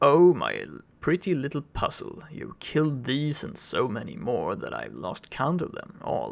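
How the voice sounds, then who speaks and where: In a put-on character voice, a man cackles with a sinister tone, his pitch fairly high and his pace moderate. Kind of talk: sweet taunting address. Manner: sinister, mocking.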